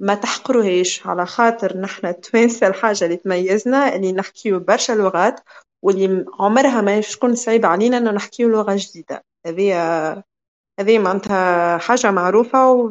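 The woman has a normal speaking voice at a medium pitch. She keeps a moderate pace with ordinary pitch variation. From Tunisia. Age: 20s. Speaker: master's student. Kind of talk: casual talk.

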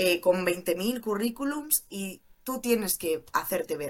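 A woman speaks in an animated tone. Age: 20s. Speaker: criminologist turned cybersecurity junior. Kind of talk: interview.

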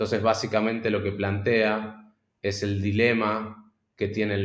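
The recording is very clean with a silent background. A man speaks at a fairly low pitch in a monotone, flat intonation. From Argentina. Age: 30s. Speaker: startup founder. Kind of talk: interview. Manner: halting, repeats words.

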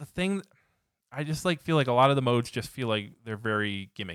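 Dry and close with no echo, the very clean recording against a silent background carries a man's unremarkable speaking voice at a medium pitch with lively intonation. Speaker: podcast co-host. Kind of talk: casual tech podcast chat and news reading.

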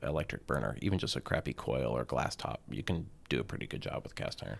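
A man with an American accent talks at a fairly quick pace, his pitch swinging very widely through vocal fry. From US South, Atlanta suburbs (Gwinnett County, Georgia). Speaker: chef and restaurant owner. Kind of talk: casual interview. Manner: hesitant, many fillers.

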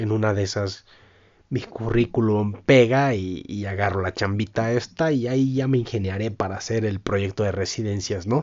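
With a normal speaking voice, a man talks at a moderate pace, fairly low in pitch with ordinary pitch variation. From Mexico, Michoacán (Puruándiro). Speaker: podcaster. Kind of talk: casual monologue.

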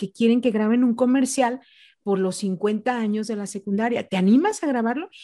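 The voice has a dark, mellow tone and ordinary pitch variation, moving at a moderate pace in a very clean recording with a silent background. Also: woman. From Mexico, Jalisco (Ciudad Guzmán). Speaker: radio announcer. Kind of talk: interview on public speaking.

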